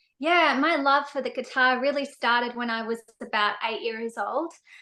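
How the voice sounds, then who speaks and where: Bright and sharp in tone, a woman speaks with an Australian accent at a high pitch. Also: quiet background. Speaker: singer-songwriter. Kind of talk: interview.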